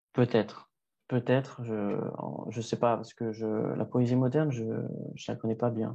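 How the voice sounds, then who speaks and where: A man talks at a fairly slow pace in a dark, mellow tone with flat, monotone intonation. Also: medium pitch for a man. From France, Paris. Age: 20s. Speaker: rapper and poet. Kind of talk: interview. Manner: hesitant, many fillers.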